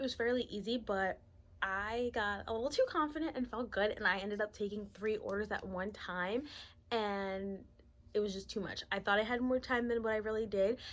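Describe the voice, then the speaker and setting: At a moderate pace, a soft-spoken woman talks in a fairly high pitch with ordinary pitch variation, on a very clean recording with a silent background. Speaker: YouTuber and gig delivery shopper. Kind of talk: casual vlog talk to camera.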